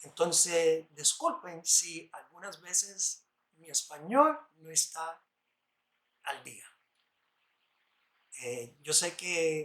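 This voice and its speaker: A man with an English accent speaks at a very slow pace in a high, bright, sharp voice, with big swings in loudness and long, frequent pauses. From New York, US (Puerto Rican parents). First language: English (speaking Spanish). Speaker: lay preacher. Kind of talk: bible study sermon.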